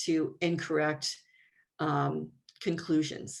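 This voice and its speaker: At a very slow pace, a woman speaks with a very deep, low pitch and vocal fry. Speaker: researcher presenting at a conference. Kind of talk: conference talk over video call. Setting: video call. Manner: halting, many fillers.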